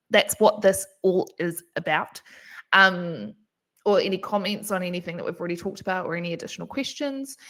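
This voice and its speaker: Speaking fairly quickly at a medium pitch, a woman shows ordinary pitch variation and big swings in loudness. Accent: New Zealand. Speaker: webinar moderator, events manager. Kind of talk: live Q&A webinar.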